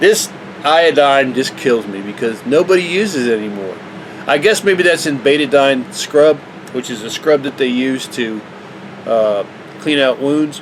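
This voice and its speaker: Noticeable background noise runs under this man's fairly high voice. He keeps a moderate pace with lively intonation. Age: 60s. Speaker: vlogger. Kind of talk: casual tutorial. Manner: casual, halting.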